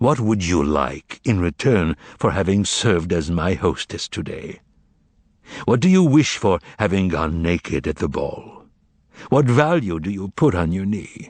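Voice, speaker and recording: Booming and put-on, this character voice moves at a moderate pace. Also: man, very deep, low pitch for a man. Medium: read story. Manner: commanding, ironic.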